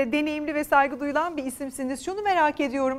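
A woman at a high pitch with ordinary pitch variation. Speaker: TV news anchor. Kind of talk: live TV interview. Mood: polite, respectful questioning. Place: studio.

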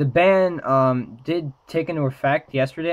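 Ordinary pitch variation against a quiet background. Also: man. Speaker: trading card game YouTuber. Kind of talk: casual talk to camera. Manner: hesitant, many filler words. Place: home room.

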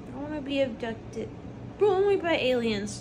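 A woman talks rather slowly, with clearly audible noise behind her. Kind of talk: groggy rambling chat. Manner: drowsy, slurred post-anesthesia rambling.

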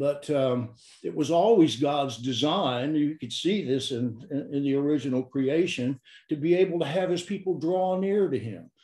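At a moderate pace, the speaker has a dark, mellow tone, with audible room echo and a quiet background. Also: man. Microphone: video call.

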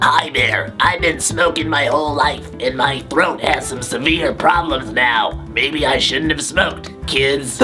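A man does a raspy, put-on character voice with a fairly high pitch at a fairly slow pace. Clear music plays in the background.

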